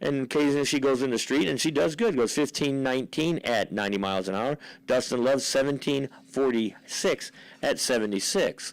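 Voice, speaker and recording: A man with a plain, everyday voice, medium pitch, ordinary pitch variation and very even loudness at a fairly quick pace, on a very clean recording with a silent background. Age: 60s. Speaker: drag racing announcer. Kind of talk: live commentary. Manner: casual, conversational.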